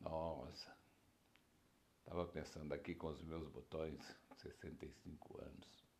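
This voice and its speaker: With vocal fry and a very deep, low pitch, a man speaks monotonously with flat intonation at a very slow pace, with long, frequent pauses. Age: 60s. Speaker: podcaster. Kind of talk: personal reflection monologue. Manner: warm, laughing.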